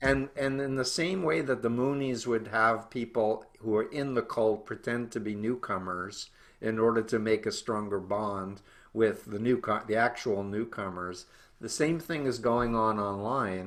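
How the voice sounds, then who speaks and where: A man speaks in an ordinary speaking voice, pitched in the medium range. His pace is fairly slow. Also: ordinary pitch variation. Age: 60s. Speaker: cult researcher and author. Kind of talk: interview.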